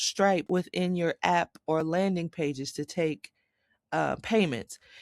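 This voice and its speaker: Here a woman speaks at a medium pitch with a slight Southern accent and ordinary pitch variation. The recording is very clean, with a silent background and a dry, close sound with no echo. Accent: slight southern twang. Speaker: tech tutorial creator. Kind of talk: screen-recorded tutorial. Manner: casual, with fillers.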